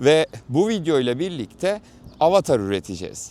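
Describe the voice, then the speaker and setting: The sound is close and dry, without any echo. The voice belongs to a man. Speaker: content creator demonstrating AI avatar tool. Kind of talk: unedited walking vlog tutorial. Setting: outdoors, walking. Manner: uneven, irregular while walking.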